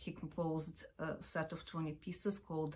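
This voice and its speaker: Somewhat breathy and fairly low in pitch, a woman with a Ukrainian accent talks at a fairly slow pace in a monotone, flat intonation. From Ukraine. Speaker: opera company artistic director and pianist. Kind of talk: video introduction. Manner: halting with fillers.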